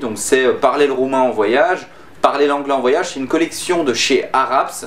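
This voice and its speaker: Over noticeable background noise, a man speaks at a fairly high pitch and a moderate pace. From France. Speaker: YouTuber. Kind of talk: casual vlog talk to camera. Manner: hesitant, many fillers.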